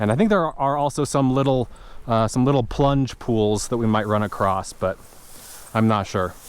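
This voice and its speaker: The man's pitch is medium, with ordinary variation. He keeps a moderate pace and very even loudness. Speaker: fly fishing youtuber. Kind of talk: casual vlog narration outdoors. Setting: outdoors by a creek. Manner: hesitant with fillers.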